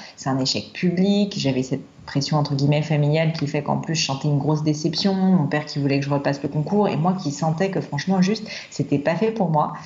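Over noticeable background noise, a woman with a very deep, low pitch talks at a fairly quick pace with hardly any pauses. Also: ordinary pitch variation. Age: 30s. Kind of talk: casual chat. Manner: hesitant, with fillers and repetitions.

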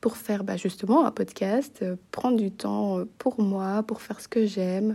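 A woman's very slow speech at a medium pitch, with a dark, mellow tone and fairly even intonation. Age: 20s. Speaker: student podcaster. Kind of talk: casual monologue. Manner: hesitant, many fillers.

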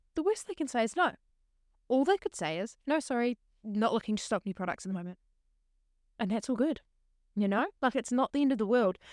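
A woman talks at a fairly quick pace and a fairly high pitch with very wide pitch swings and long, frequent pauses, in a very clean recording with a silent background and a dry, close sound with no echo. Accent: New Zealand. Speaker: podcast host and teacher. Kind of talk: solo casual monologue.

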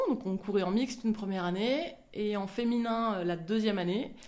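Ordinary pitch variation from a woman at a moderate pace, with audible room echo. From France, Marseille. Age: 30s. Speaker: professional sailor. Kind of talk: interview testimony. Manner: halting, many hesitations.

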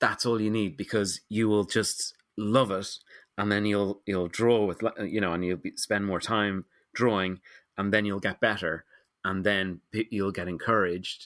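In a dry, close sound with no echo on a very clean recording with a silent background, a man with a Dublin accent speaks at a moderate pace in a monotone, flat intonation. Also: fairly low pitch for a man. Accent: Dublin Irish. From Ireland, Dublin. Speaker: illustrator and picture book author. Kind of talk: interview conversation. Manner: halting, many fillers and repetitions.

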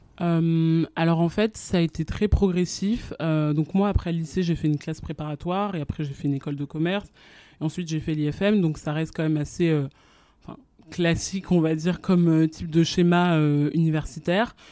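With fairly even intonation, a woman speaks at a moderate pace in a fairly low voice. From France. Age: 20s. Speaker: fashion communications professional. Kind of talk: interview. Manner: halting.

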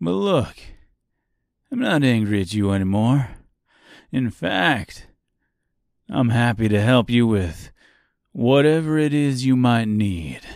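A man's put-on character voice at medium pitch, slightly mellow with vocal fry, big pitch swings, a slow pace, and long, frequent pauses, on a very clean recording with a silent background

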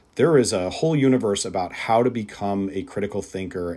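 With a normal speaking voice, a man talks at a moderate pace and a fairly low pitch. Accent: American. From US Midwest. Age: 30s. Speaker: spirits industry executive. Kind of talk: interview.

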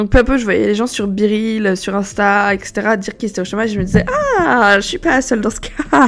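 A woman speaks at a fairly high pitch. Noticeable background noise runs under her voice. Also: ordinary pitch variation, fairly quick pace. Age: 20s. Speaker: podcaster. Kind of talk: casual monologue. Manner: casual, hesitant with fillers.

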